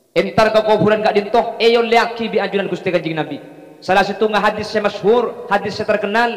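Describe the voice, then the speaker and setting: Fairly quick, high-pitched male speech with fairly even intonation, over noticeable background noise. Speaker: Islamic preacher. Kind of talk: religious sermon to a live audience.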